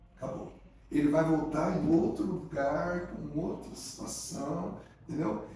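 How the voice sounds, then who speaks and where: A man talks at a fairly slow pace in a fairly high pitch. Audible room echo and noticeable background noise surround him. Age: 60s. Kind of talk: casual interview. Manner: halting.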